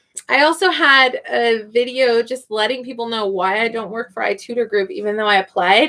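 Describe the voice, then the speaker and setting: A woman with an American accent, fairly high in pitch, bright and sharp in tone, at a moderate pace. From US Midwest, Kansas City. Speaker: online English tutor and live streamer. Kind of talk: casual live stream chat reading comments. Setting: live stream at computer.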